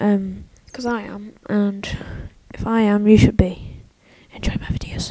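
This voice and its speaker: Long, frequent pauses break up speech delivered at a fairly slow pace. Background noise is noticeable throughout. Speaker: gaming youtuber. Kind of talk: let's play commentary. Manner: hesitant, filler-heavy.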